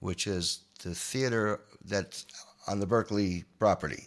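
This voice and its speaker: This man speaks with an American accent. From New York, Long Island. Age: 60s. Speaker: guitarist. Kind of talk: interview storytelling. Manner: halting.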